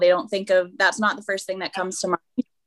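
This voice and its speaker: A woman speaks with a Canadian accent at a medium pitch in an unremarkable speaking voice. Her intonation stays fairly even. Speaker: golf professional. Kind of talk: casual chat.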